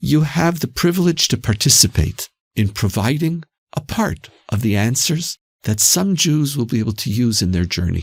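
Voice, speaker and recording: Somewhat breathy, the voice carries a Canadian accent and very wide pitch swings. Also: man, medium pitch for a man, moderate pace. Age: 60s. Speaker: institute president. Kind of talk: podcast interview. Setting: studio.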